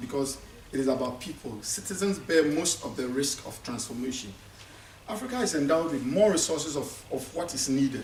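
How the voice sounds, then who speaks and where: There is noticeable background noise and audible room echo. A man talks fairly quickly with a fairly high pitch and ordinary pitch variation. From Ghana. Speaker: conference speaker. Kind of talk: conference speech. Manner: halting, with many repetitions.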